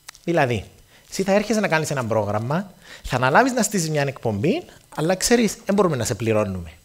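Animated and with a Cypriot accent, a man speaks at a fairly quick pace in a fairly high pitch with very wide pitch swings and vocal fry. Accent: Cypriot Greek. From Cyprus. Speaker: radio station founder; guest. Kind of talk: speech to students. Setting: stage with audience. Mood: humorous, warm. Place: stage. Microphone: headset.

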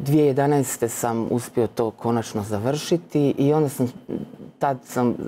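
Fairly even intonation and a dark, mellow tone come from a man. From Croatia, Split (Dalmatia); Croatia. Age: 30s. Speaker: Franciscan postulant, former literature scholar; guest. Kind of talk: faith testimony interview. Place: studio. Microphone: lapel.

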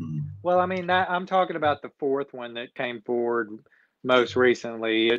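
In a Texan accent, a man talks at medium pitch and a moderate pace with lively intonation, the sound dry with no echo over a quiet background. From Texas. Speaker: couples counselor; talk show guest. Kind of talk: casual discussion. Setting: phone video call. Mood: opinionated, mildly indignant. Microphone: video call.

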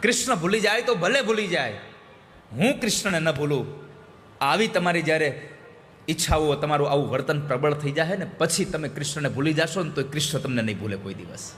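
Lively intonation in a fairly high-pitched male voice. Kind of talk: religious discourse.

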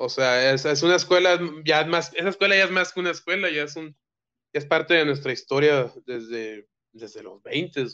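A fairly high-pitched man in a bright, sharp tone, moderate pace, ordinary pitch variation, big swings in loudness, quiet background. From Mexico. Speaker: filmmaker; guest. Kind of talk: casual chat. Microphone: video call.

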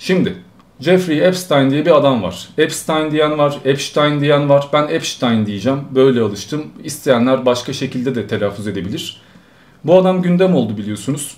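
With lively intonation, a man speaks at a moderate speed. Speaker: streamer. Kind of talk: live stream commentary. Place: home room.

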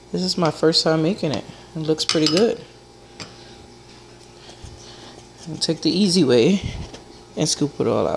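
Very slow pace over light background noise. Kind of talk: casual cooking tutorial. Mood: pleased, upbeat. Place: kitchen. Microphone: phone near.

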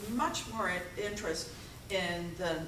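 A woman speaks at a fairly low pitch with lively intonation. Room echo is audible.

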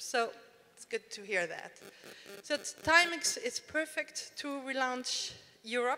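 A woman's raised, projected voice with ordinary pitch variation. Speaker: panel moderator. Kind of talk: moderator introduction. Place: hall. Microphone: handheld.

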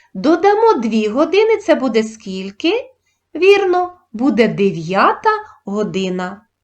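A woman speaks at a very slow pace. Her high voice moves through very wide pitch swings. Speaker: primary school teacher. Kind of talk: tutorial. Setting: video lesson. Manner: formal.

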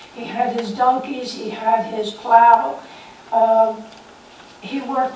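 A woman's fairly high voice amid audible room echo and light background noise. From US Northeast. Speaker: former neighbor sharing memories. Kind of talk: storytelling to audience. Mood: warm, nostalgic. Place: hall. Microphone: camera far.

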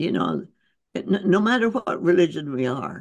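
A woman with an American accent, fairly low pitch, vocal fry and lively intonation against a quiet background. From United States. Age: 80s+. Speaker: physician and author; interview guest. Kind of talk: interview answer. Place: home room. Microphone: video call.

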